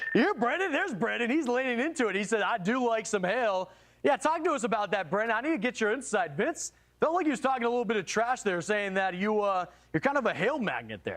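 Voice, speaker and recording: At a very fast pace, a man with an extremely high pitch sounds animated, his intonation lively and his loudness very even, over a quiet background. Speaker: live news anchor. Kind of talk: live breaking weather coverage.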